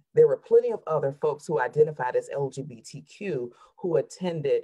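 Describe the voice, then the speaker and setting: An animated tone comes through as a woman speaks with a Southern US accent. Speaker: therapist. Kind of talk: panel discussion.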